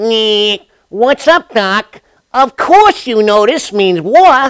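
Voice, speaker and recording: This is a cartoonish character voice at a fairly high pitch. It moves at a very slow pace. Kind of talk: classic cartoon wisecracker. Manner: cocky, jokey, playful.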